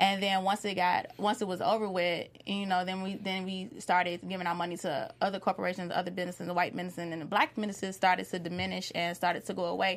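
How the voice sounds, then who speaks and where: Talking at a very fast pace, a woman with an American accent speaks at a medium pitch. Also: fairly even intonation, hardly any pauses. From Chicago, US. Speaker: TV recap panelist. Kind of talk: casual panel discussion.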